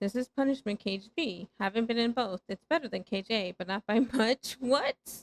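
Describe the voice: The clip is plain reading aloud with ordinary pitch variation and a quiet background.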